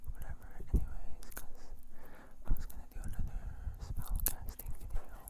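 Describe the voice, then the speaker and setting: Someone whispers, leaving long, frequent pauses. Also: moderate pace. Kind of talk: ASMR ramble. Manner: whispered; soft.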